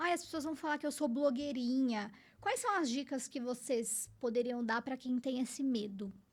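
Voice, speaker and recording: This woman's voice sits at a high pitch with ordinary pitch variation. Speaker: podcast host. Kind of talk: casual chat.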